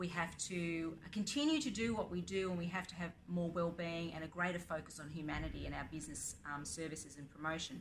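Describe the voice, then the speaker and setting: A woman with an Australian accent talks fairly quickly with hardly any pauses, her fairly low pitch carrying vocal fry and fairly even intonation, in audible room echo. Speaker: blockchain advocate and educator. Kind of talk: interview. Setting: conference.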